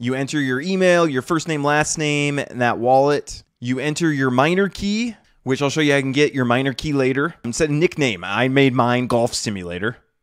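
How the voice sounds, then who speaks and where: With hardly any pauses, a man talks at a fairly quick pace with lively intonation, the sound dry with no echo over a quiet background. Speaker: tech video creator. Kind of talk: tutorial. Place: home room. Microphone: studio mic.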